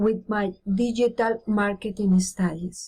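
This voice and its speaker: A woman at a fairly high pitch, somewhat breathy, speaking at a very slow pace. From Colombia (Bogotá). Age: 50s. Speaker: teacher. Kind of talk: reading aloud. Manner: halting.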